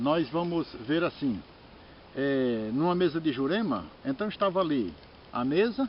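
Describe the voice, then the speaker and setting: Long, frequent pauses break up speech that has lively intonation. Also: man, fairly high pitch for a man. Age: 60s. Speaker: religious master. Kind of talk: informal talk on religious tradition. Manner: halting, with repeated words.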